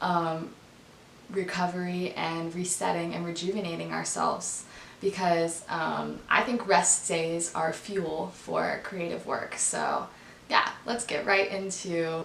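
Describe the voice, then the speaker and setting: In a room with audible echo and noticeable background noise, a woman speaks very slowly at a fairly low pitch in a monotone, flat intonation. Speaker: dancer and lifestyle vlogger. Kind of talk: casual vlog talk. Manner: relaxed, chill.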